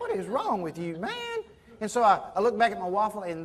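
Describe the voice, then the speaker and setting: A man speaks with a Southern US accent. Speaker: professional speaker. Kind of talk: motivational keynote storytelling.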